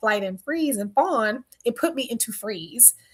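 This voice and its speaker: A woman's fairly high voice with a slight Southern US accent at a moderate pace, on a very clean recording with a silent background. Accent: slight Southern US country twang. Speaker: speaker and workshop facilitator. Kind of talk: casual vlog talk.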